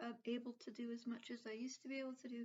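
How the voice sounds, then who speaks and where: Her pitch high, a woman speaks in a monotone, flat intonation. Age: 40s. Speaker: vlogger. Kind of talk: casual vlog talk. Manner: halting, many fillers.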